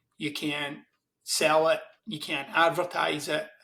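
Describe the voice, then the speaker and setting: The voice carries a Glaswegian accent. Its tone is bright and sharp. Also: man. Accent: Glaswegian Scottish. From Scotland, Glasgow East End. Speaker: self-help author. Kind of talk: interview conversation.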